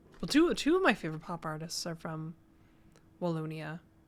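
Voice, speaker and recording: This is a woman speaking. Her pace is moderate. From New Brunswick, Canada. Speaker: game developer streamer. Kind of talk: casual livestream chat.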